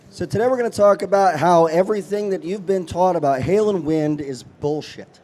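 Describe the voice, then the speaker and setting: Moderate-paced speech from a man pitched high, ordinary pitch variation, and noticeable noise behind him. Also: long, frequent pauses. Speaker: podcast host in insurance claims industry. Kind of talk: presentation. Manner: casual.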